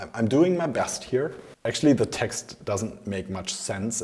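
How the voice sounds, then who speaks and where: A man talks with a German accent. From Germany. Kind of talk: casual talk to camera.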